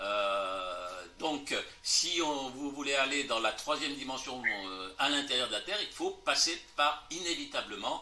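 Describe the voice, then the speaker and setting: With noticeable background noise and audible room echo, a man of fairly high pitch speaks very slowly with lively intonation. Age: 80s+. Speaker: lecturer and author on fringe theories. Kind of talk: interview Q&A after a lecture. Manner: hesitant with many fillers.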